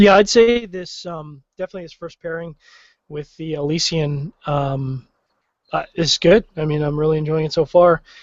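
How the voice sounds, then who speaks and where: An unremarkable speaking voice with a Canadian accent moves at a moderate pace. Its pitch variation is ordinary, while the loudness shows big swings. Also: man, fairly high pitch for a man. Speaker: cigar and beer podcast host. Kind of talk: casual chat.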